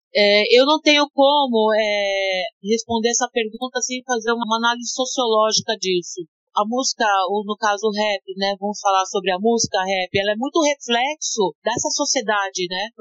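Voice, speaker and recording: A plain, everyday voice from a woman, moderately paced and fairly high-pitched. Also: ordinary pitch variation. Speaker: rapper and art educator. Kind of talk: interview.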